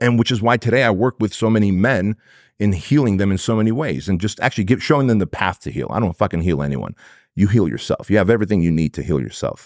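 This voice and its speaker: Fairly low-pitched man with an animated tone, lively intonation, a very fast pace, and a dry, close sound with no echo. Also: very clean recording, silent background. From Armenia, moved to US as child. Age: 40s. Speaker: entrepreneur and business coach. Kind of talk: podcast interview.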